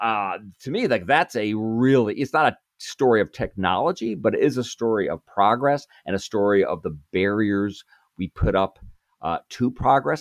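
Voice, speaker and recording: A man with an American accent speaks at a moderate pace in a fairly low voice, his intonation lively, against a quiet background with a dry, close sound and no echo. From Chicago, US Midwest. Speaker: author and think tank fellow. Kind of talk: interview conversation. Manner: halting, many fillers and repeats.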